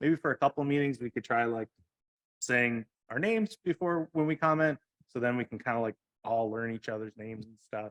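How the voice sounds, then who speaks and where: Medium-pitched male voice, fairly quick, with ordinary pitch variation and big swings in loudness, in a dry, close sound with no echo. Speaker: commissioner. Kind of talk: public meeting discussion. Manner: fast; hesitant, many fillers.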